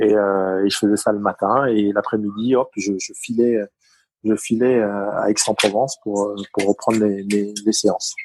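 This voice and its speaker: Intonation is monotone and flat. The pace is fairly slow. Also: man. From Paris. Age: 40s. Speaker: retired taekwondo athlete. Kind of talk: interview. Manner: halting, many fillers.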